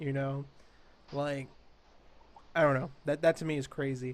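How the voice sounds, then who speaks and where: A man at a moderate pace. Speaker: gaming podcast host. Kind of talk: casual chat.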